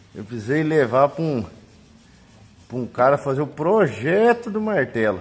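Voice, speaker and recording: Speaking at a fairly slow pace, a man moves through very wide pitch swings. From Brazil. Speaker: paintless dent repair technician. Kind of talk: tutorial. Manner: casual, colloquial. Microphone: phone near.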